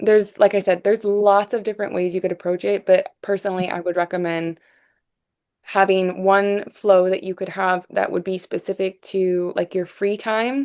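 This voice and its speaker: The background is quiet. A woman talks at medium pitch in a monotone, flat intonation. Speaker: software support specialist. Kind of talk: live workshop Q&A. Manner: fast; casual, many fillers.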